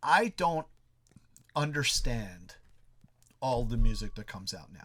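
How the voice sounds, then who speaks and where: The voice is animated, bright and sharp, with vocal fry, at a fairly slow pace. Its pitch swings very widely and its loudness rises and falls a lot. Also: man, medium pitch for a man. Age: 40s. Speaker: musician. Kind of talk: casual chat.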